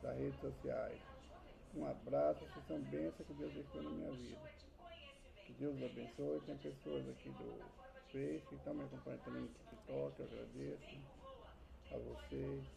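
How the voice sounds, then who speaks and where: Soft-spoken and very deep, low-pitched, a man talks in a monotone, flat intonation at a moderate pace with long, frequent pauses and audible room echo. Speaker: Bible teacher. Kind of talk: personal testimony. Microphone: added mic, still too quiet.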